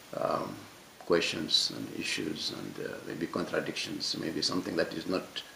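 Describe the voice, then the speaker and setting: Over noticeable background noise, a man with a non-native accent talks at a moderate pace. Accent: noticeable foreign. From Mauritania, West Africa. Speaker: French teacher, discussion speaker. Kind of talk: panel discussion talk. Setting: public library talk with audience. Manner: halting, many repetitions and fillers; passionate.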